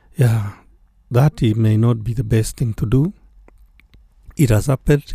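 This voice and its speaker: The man's somewhat breathy voice has a dark, mellow tone and ordinary pitch variation, recorded with dry, close sound and no echo. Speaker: police oversight official. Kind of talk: radio interview.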